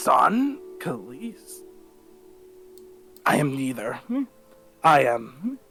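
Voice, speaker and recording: Putting on a character voice, a man with a fairly high pitch speaks at a very slow pace with long, frequent pauses while music plays in the background. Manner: different voice, shifted from normal tone.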